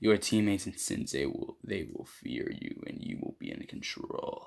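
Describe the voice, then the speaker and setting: Putting on a growling character voice at an extremely high pitch for a man, a man speaks at a moderate pace. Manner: menacing, seductive.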